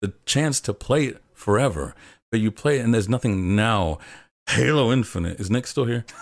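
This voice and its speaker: Lively intonation marks a plain, everyday voice speaking at a moderate pace on a very clean recording with a silent background. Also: man, medium pitch for a man. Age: 20s. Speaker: video essayist and game critic. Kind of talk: casual chat. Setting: live stream with chat.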